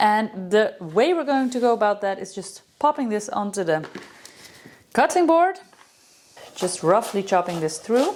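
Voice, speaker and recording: The speaker has a Dutch accent and talks at a fairly slow pace. Pauses are long and frequent, and the pitch swings very widely. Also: woman, fairly high pitch for a woman. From Netherlands. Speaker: professional chef and farmer. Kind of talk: cooking tutorial.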